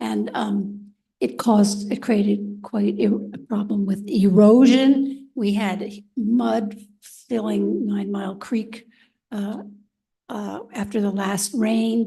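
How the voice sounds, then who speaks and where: A woman at a very slow pace, medium in pitch, somewhat breathy and dark and mellow in tone, with fairly even intonation. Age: 80s+. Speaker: resident speaking at public comment. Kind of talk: public comment at township meeting. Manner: halting, many fillers.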